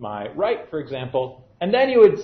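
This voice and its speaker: There is audible room echo as a man talks. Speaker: university physics lecturer. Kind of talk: lecture. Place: classroom.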